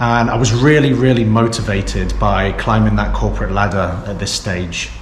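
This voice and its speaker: A man with a British accent at a fairly quick pace, ordinary pitch variation, audible room echo and noticeable background noise. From England (Lancaster, Oxford, Southampton). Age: 30s. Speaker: vlogger. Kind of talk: casual vlog monologue. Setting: office, filmed on GoPro.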